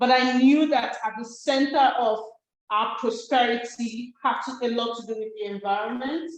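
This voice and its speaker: In a room with audible echo, a woman with a high pitch speaks at a moderate pace with fairly even intonation and big swings in loudness. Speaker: climate researcher and activist. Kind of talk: public conversation. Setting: gallery event with online audience.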